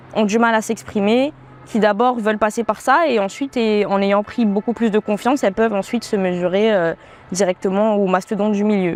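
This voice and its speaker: Over noticeable background noise, a woman with a fairly high pitch speaks at a fairly quick pace, keeping her intonation fairly even and her loudness very even. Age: 20s. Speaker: professional dancer and beatmaker. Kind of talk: interview. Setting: outdoor terrace. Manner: hesitant, many filler sounds.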